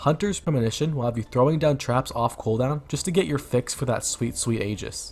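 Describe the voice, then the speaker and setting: A man speaks at a fairly quick pace with hardly any pauses. His medium-pitched voice is somewhat breathy, with ordinary pitch variation. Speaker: gaming content creator. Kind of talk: game build guide narration. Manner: upbeat, casual.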